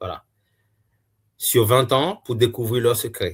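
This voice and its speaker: On a very clean recording with a silent background, a man speaks at medium pitch in a somewhat breathy voice. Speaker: YouTuber reviewing books. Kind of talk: casual book review monologue. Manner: slow; hesitant, many filler sounds.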